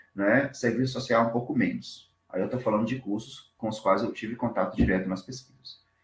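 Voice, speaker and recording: Talking at a fairly quick pace with hardly any pauses, a man's somewhat breathy voice sits at a medium pitch with fairly even intonation. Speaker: doctoral researcher. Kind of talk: academic presentation. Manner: fast.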